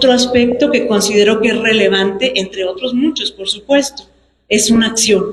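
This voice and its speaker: With ordinary pitch variation, this woman's voice sits fairly high. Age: 60s. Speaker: human rights defender, lawyer. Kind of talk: public speech at book presentation. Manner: formal.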